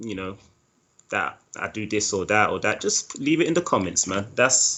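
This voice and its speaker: With a London accent, a man speaks at a moderate pace using lively intonation. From East London, England. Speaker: animator. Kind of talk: interview.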